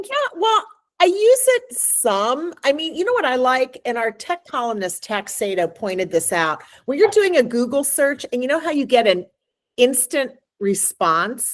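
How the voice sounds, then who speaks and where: Speaking at a moderate pace, a woman uses a high pitch with very wide pitch swings. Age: 60s. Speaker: magazine editor. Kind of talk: casual chat.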